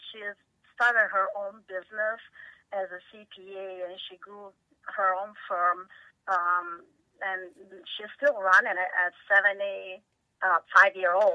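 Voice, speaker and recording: A woman with an Italian accent speaks at a medium pitch in a flat monotone, at a fairly slow pace. She leaves long, frequent pauses, and her loudness swings widely. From Italy. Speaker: tech company CEO. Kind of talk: interview.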